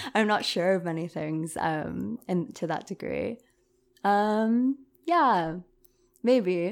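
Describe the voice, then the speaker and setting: A woman talks at a very slow pace, her medium-pitched voice full of lively intonation and long, frequent pauses. The recording is very clean, with a silent background. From US West Coast, San Francisco Bay Area. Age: 20s. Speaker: university student. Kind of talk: casual chat. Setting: in person, same room.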